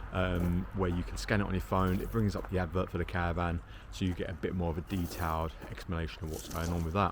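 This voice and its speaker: A man with a southern English accent talks at a fairly quick pace. His pitch is very deep and low. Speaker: caravan salesman. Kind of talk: casual video update. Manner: casual, hesitant with fillers.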